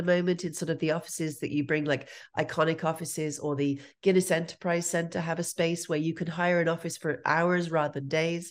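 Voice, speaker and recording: A woman with a fairly low pitch speaks fairly quickly in monotone, flat intonation. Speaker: entrepreneurship lecturer. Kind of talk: interview. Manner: careful enunciation.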